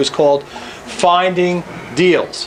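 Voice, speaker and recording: Noticeable background noise sits under this recording. A man speaks with ordinary pitch variation. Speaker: real estate investing coach. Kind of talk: presentation. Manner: loud.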